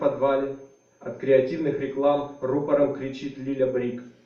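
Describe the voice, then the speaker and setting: Moderately paced male speech, monotone and flat, with audible room echo. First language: Russian. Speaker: writer. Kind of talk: literary reading; spoken introduction. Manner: halting, many fillers.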